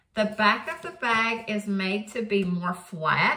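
Female voice with ordinary pitch variation and audible room echo. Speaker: product reviewer. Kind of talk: casual vlog chat. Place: home room. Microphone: phone near.

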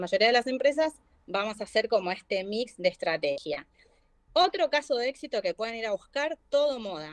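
Over a quiet background, a woman with a Rioplatense accent talks with very wide pitch swings. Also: dry sound with no echo. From Argentina. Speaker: marketing manager; guest. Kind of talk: live online class. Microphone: video call.

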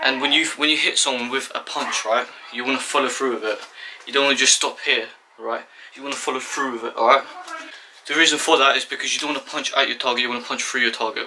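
Light background noise sits behind a man's voice. He talks at a very fast pace in a monotone, flat intonation. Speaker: boxing instructor. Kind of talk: tutorial. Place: home room. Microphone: camera far.

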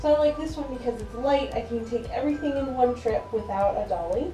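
A high-pitched woman's voice with ordinary pitch variation, faint background music and audible room echo. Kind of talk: tutorial. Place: home room. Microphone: camera far.

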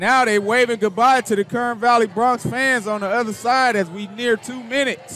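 Against noticeable background noise, a man with an extremely high pitch talks in a raised, projected voice at a moderate pace, his intonation fairly even and his loudness swinging widely. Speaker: play-by-play announcer. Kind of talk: live commentary. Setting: stadium broadcast.

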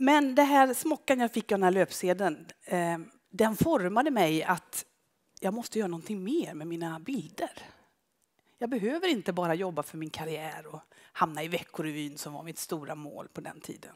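Against a quiet background, a woman speaks with very wide pitch swings. Her loudness also swings widely. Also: moderate pace. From Skara, western Sweden; western Sweden. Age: 50s. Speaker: photographer. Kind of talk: public talk with slides. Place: stage. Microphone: headset.

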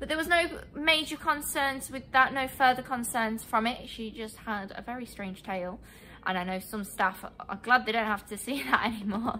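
A woman talks at a moderate pace with few pauses. Her fairly high voice has a bright, sharp tone and ordinary pitch variation.

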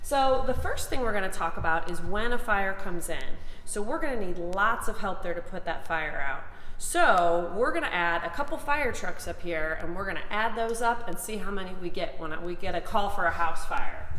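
With audible room echo and light background noise, a woman speaks at a moderate pace with lively intonation. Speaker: fire department spokesperson. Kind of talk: lesson for children. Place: workshop. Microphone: camera far.

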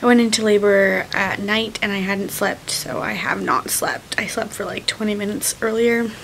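Light background noise sits behind a woman speaking at a moderate pace with ordinary pitch variation. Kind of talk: casual vlog chat. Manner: exhausted, sleepy, drowsy slow speech. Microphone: phone near.

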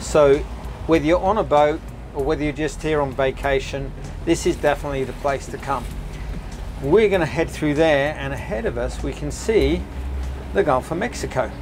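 Music plays in the background as a man speaks at a moderate pace. He leaves long, frequent pauses. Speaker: boat tour host. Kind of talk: casual tour commentary. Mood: enthusiastic, relaxed. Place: boat.

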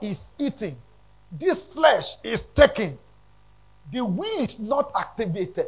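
The voice moves at a slow pace with big pitch swings. A slightly husky edge runs through it. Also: man.

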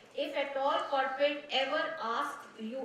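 A high-pitched woman with ordinary pitch variation, audible room echo and light background noise. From India. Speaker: corporate HR head; guest. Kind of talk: talk to students. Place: hall. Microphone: podium.

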